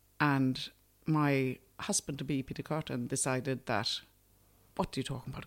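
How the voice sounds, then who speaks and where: On a very clean recording with a silent background, a woman with a very deep, low pitch speaks at a moderate pace with fairly even intonation and long, frequent pauses. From Sweden, near Nyköping. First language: Swedish. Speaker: food producer. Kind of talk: interview. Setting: studio.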